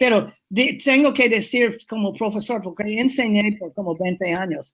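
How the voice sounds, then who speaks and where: The delivery is fairly slow and somewhat breathy, with lively intonation. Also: woman. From New England, US. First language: English (speaking Spanish). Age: 80s+. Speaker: urban planner. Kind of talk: interview. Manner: halting.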